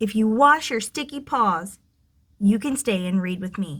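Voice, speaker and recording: A woman's put-on character voice, gruff and rumbling, fairly high in pitch, at a moderate pace. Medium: read story. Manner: gruff, grumbling.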